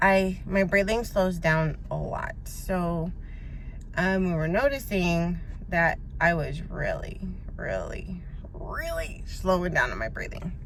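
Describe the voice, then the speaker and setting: A woman talking at a very slow pace, with noticeable background noise and audible room echo. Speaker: vlogger recovering from covid. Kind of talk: casual vlog.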